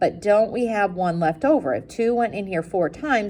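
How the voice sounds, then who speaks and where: A woman speaks with ordinary pitch variation. She has an ordinary speaking voice. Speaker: math teacher. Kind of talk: classroom lecture.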